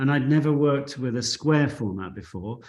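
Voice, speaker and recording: This man has a normal speaking voice, talking at a fairly quick pace with ordinary pitch variation. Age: 60s. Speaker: photographer. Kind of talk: interview.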